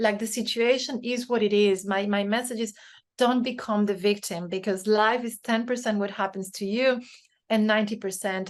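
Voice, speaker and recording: A woman with a Spanish accent and a fairly high pitch speaks at a moderate pace with fairly even intonation against a quiet background. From Spain. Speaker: author and leadership consultant. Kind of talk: interview conversation. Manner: hesitant, many fillers.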